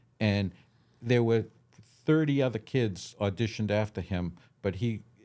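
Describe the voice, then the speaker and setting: A man speaks with an American accent in a fairly low, dark, mellow voice. He keeps a moderate pace with ordinary pitch variation on a very clean recording with a silent background. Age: 60s. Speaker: film director. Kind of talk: interview.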